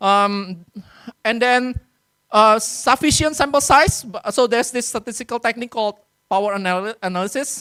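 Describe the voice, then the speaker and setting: The speaker has an Indonesian accent. The pace is moderate. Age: 40s. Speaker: workshop speaker on research publishing. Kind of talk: lecture. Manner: hesitant with many fillers.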